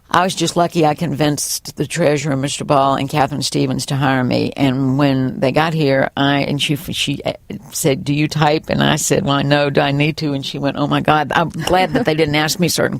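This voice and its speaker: A woman with a Virginia accent speaks in a very deep, low pitch, with hardly any pauses. Noticeable background noise is present. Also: moderate pace. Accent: Southern US (Virginia). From US South. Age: 60s. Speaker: college bookstore manager, former teacher. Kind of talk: oral history interview. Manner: animated.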